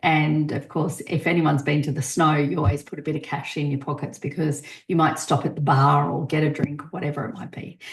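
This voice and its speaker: Speaking at a fairly quick pace, a woman has an Australian accent and a very deep, low pitch. Her voice is somewhat breathy, with fairly even intonation. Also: hardly any pauses. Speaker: podcast host. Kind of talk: casual podcast monologue. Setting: podcast recording.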